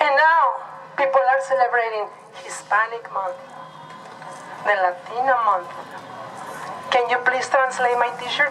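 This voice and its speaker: A woman's high-pitched voice at a fairly slow pace, with long, frequent pauses, ordinary pitch variation, noticeable background noise and audible room echo. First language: Nahuatl. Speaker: rally speaker. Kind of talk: speech at a rally.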